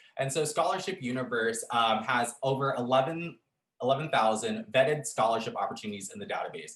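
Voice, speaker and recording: This man's voice sits at a medium pitch with very wide swings. He talks at a fairly quick pace. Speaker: program coordinator at campus resource center. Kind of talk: orientation presentation. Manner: fast.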